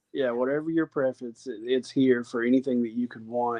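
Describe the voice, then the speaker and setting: Speaking in a Southern US accent, a man holds a medium pitch. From Alabama, US South. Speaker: real estate agent. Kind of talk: interview conversation.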